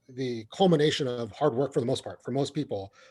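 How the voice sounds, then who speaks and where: Here is a man with an American accent and an unremarkable speaking voice. His medium pitch varies in an ordinary way at a moderate pace. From US, California Bay Area (refugee from Vietnam as toddler). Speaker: county assessor. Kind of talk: webinar Q&A answer. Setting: online webinar. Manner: conversational, frequent fillers and repetitions.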